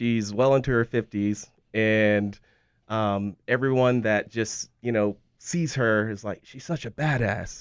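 A plain, everyday voice from a man at medium pitch comes through dry and close with no echo, using fairly even intonation over a quiet background. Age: 40s. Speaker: martial arts instructor and gym owner. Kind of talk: casual interview.

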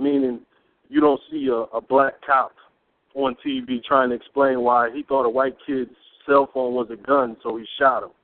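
Speaking at a moderate pace, a man with an American accent has an ordinary speaking voice and a fairly high pitch. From US Midwest, inner city Peoria, Illinois. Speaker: radio show co-panelist. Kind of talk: call-in radio discussion.

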